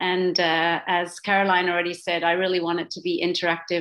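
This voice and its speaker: On a very clean recording with a silent background, a woman with a slight Australian accent speaks at a medium pitch. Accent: slight Australian twang. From Papua New Guinea, Swiss family. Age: 40s. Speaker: social entrepreneur. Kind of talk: talk.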